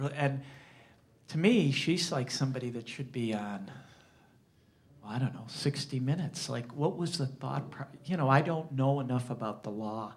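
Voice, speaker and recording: A somewhat breathy man with an American accent, amid audible room echo. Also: medium pitch for a man, ordinary pitch variation, moderate pace. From Springfield, Massachusetts, US. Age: 60s. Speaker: journalist. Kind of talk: talk to an audience. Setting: library lecture with audience. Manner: halting, many repetitions.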